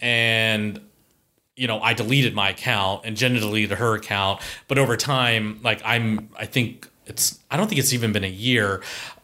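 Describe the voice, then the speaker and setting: This man's voice has a bright, sharp tone, medium pitch and fairly even intonation at a moderate pace. The recording is very clean, with a silent background. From US Midwest, Columbus, Ohio. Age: 30s. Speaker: gym member, guest. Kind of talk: casual chat.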